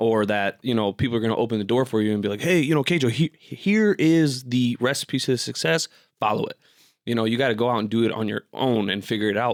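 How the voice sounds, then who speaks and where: Speaking very fast with a Midwestern US accent, a man keeps a medium pitch and ordinary pitch variation, on a very clean, dry, close recording with a silent background and no echo. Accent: US Midwest. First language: Bosnian. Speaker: podcast guest. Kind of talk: casual chat.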